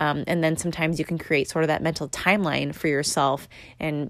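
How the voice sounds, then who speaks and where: This woman's pitch is very deep and low, with vocal fry and fairly even intonation. She talks at a fairly quick pace, recorded very cleanly against a silent background. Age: 20s. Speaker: podcast host. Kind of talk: casual solo monologue. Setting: recording at home in apartment. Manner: filler-heavy, conversational.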